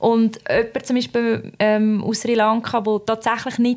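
A woman with a fairly high pitch and a normal speaking voice. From Switzerland. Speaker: podcast co-host. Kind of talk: casual chat.

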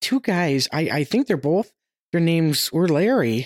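Captured with a dry, close sound and no echo, a woman speaks at fairly low pitch with lively intonation. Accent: American. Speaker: ice cream stand owner. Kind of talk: interview. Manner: halting, many fillers.

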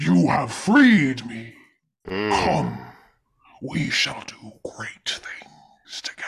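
Putting on a raspy character voice at medium pitch, a man speaks at a very slow pace with long, frequent pauses. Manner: dramatic, imperious.

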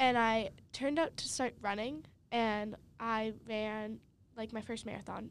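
A woman with an American accent speaks in a fairly high pitch, leaving long, frequent pauses. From Massachusetts, north of Boston. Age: 20s. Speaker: college swimmer and nursing student. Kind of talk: casual interview. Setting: studio.

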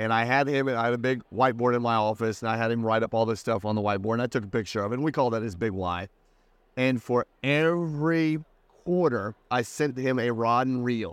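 This is an unremarkable speaking voice with an American accent, moving at a fairly quick pace with ordinary pitch variation. The recording is very clean, with a silent background. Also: man, medium pitch for a man. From US Midwest, Indiana. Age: 40s. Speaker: business coach. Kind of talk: casual interview chat.

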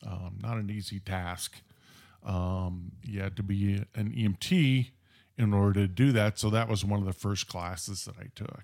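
A man with an American accent uses a normal speaking voice at a fairly low pitch. He talks at a moderate pace with fairly even intonation, on a very clean recording with a silent background. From Southern California (Orange County). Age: 60s. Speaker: paramedic supervisor. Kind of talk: casual interview storytelling.

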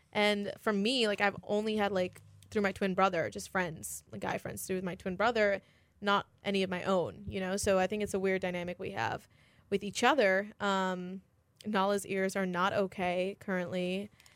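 A woman has a normal speaking voice, medium in pitch, delivered at a moderate pace with fairly even intonation on a very clean recording with a silent background. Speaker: college radio host. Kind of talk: casual chat. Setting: studio.

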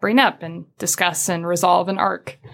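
A woman with an American accent. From US Midwest. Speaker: video game writer, former journalist. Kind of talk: casual interview chat.

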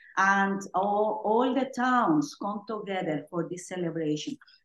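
A woman speaks at a fairly slow pace with a Mexican accent. Her pitch sits in the medium range. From Oaxaca, Mexico. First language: Spanish. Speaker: Spanish and music teacher. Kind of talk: casual chat.

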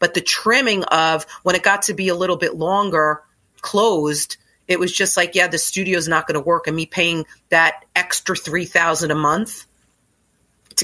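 A woman speaks at a fairly low pitch and a moderate pace. Her tone is bright and sharp. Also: very clean recording, silent background. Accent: American. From Staten Island, New York. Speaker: yoga studio owner. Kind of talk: casual interview chat.

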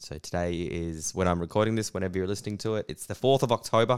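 A man with an Australian accent, very deep, low pitch, ordinary pitch variation and a very fast pace, on a very clean recording with a silent background and a dry, close sound with no echo. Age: 30s. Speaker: comedian. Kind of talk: casual monologue.

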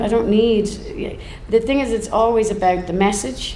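Over noticeable background noise, a woman talks at a moderate pace. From Ireland. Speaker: folk singer. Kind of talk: live podcast interview. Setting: stage with live audience.

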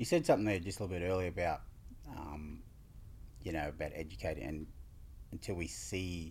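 With an Australian accent, a man speaks at a very deep, low pitch with vocal fry. His pace is fairly quick, broken by long, frequent pauses. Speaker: community podcast host. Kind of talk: interview.

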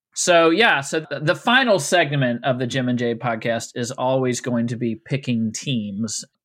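Medium pitch, moderate pace and ordinary pitch variation in a man's unremarkable speaking voice. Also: hardly any pauses. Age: 50s. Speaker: podcast co-host and therapist. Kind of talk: casual chat.

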